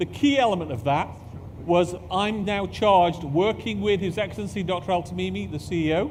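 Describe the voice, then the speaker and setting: A man speaks with a British accent at a fairly quick pace. His high voice has very wide pitch swings, with audible room echo. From UK, parents from Pakistan. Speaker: space agency executive. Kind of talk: conference talk.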